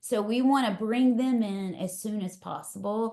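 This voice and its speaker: Speaking at a fairly slow pace, a woman with a Texas accent has a medium pitch and ordinary pitch variation. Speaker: leadership coach. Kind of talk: webinar talk. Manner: casual, energetic.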